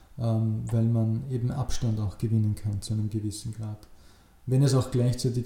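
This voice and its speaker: This man has a dark, mellow tone and a somewhat breathy sound. He talks at a moderate pace with monotone, flat intonation. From Upper Austria, rural. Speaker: political scientist. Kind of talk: interview. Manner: hesitant, many filler sounds.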